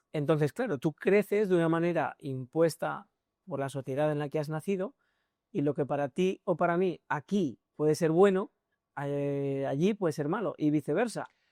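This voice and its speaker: A very clean recording, with a silent background. The speech moves at a moderate pace. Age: 20s. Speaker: podcast host. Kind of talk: podcast interview.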